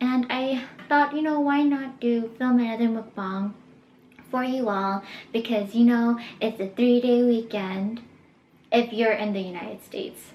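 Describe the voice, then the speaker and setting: A woman with a fairly high pitch talks at a fairly slow pace, with long, frequent pauses and ordinary pitch variation. Noticeable background noise runs under her voice. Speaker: vlogger. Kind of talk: casual mukbang vlog. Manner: talkative.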